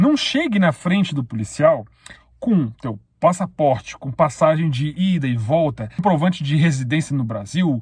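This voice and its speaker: A man speaks with a fairly high pitch and very wide pitch swings. His pace is moderate. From Brazil. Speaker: YouTuber, immigrant vlogger. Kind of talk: casual vlog monologue with advice. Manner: conversational, addresses viewers directly.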